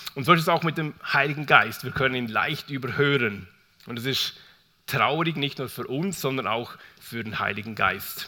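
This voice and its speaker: A man's voice with a bright, sharp tone. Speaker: preacher. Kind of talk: sermon. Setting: church. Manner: warm, conversational and unhurried, storytelling with an open, personal tone.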